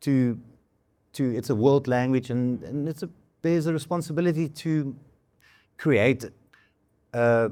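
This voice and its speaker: With a South African accent, a man talks at a fairly slow pace. His voice is fairly high, with ordinary pitch variation. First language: Afrikaans. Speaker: musician and arts producer. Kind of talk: fireside chat on stage.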